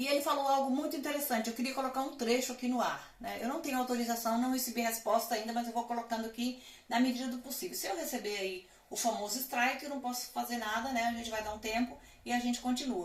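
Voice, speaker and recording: A woman talks at a very fast pace in a high pitch with fairly even intonation, amid noticeable background noise and audible room echo. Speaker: commentary channel host. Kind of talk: casual vlog commentary. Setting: street nearby.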